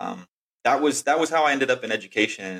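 In an American accent, a man speaks in a normal speaking voice with ordinary pitch variation. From Texas. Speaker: outbound sales rep, former teacher. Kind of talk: casual interview.

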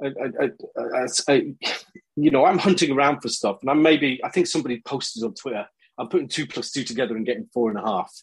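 A man's fairly high-pitched voice at a very fast pace, with ordinary pitch variation. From Scotland. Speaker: business school academic. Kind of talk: casual interview chat.

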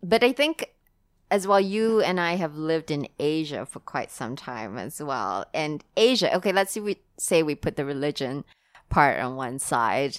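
Fairly slow speech with very wide pitch swings and big swings in loudness, dry and close with no echo on a very clean recording with a silent background. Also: woman, very deep, low pitch for a woman. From Singapore. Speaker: sex coach. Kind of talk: casual chat.

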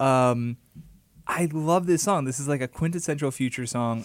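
A man with a normal speaking voice, fairly high pitch, ordinary pitch variation and a moderate pace, on a very clean recording with a silent background. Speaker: podcast co-host, music critic. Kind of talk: casual chat.

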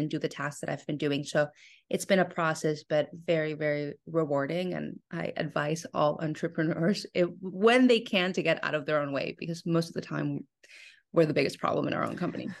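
Over a quiet background, a woman with a Spanish accent speaks at a fairly quick pace, with a fairly low pitch and vocal fry. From Mexico (Monterrey, Nuevo León). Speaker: food company founder. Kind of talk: interview. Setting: podcast.

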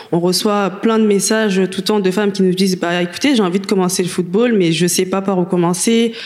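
Against noticeable background noise, a woman speaks at a medium pitch with fairly even intonation. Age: 20s. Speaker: activist, association president. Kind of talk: panel discussion.

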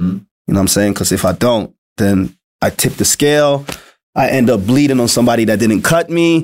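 A man's normal speaking voice at a moderate pace and medium pitch. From Sweden, Malmö. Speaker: rapper. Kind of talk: casual interview.

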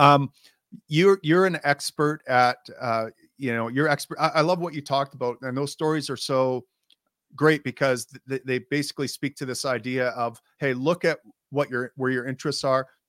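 An unremarkable speaking voice from a man, fairly high in pitch, with fairly even intonation and a dry, close sound with no echo. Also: moderate pace. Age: 50s. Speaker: podcast host. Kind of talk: interview.

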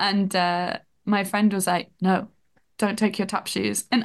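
Against a quiet background, a woman with a slight northern English accent speaks at a medium pitch and a fairly slow pace. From northern England. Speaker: TV development researcher.

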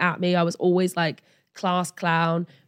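This is a very clean recording with a silent background. A woman speaks at a medium pitch. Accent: English. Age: 30s. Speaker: model and ADHD advocate. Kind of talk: interview.

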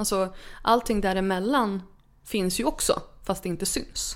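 Speaking at a fairly slow pace, a woman with a normal speaking voice and medium pitch keeps a fairly even intonation. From northern Sweden, Örnsköldsvik. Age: 30s. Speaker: author. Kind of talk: interview.

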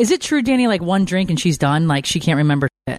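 Fast and fairly low for a woman, her voice has a slightly mellow tone and big pitch swings.

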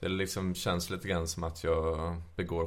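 This man's voice is very deep and low. He speaks in a monotone, flat intonation. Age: 30s. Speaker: trained musician, podcast guest. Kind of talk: casual chat.

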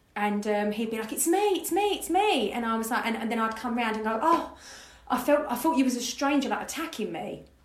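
A woman talks at a fairly quick pace in a high voice with very wide pitch swings. There is noticeable background noise. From Essex, England (Grays). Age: 30s. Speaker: life coach. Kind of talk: casual interview chat.

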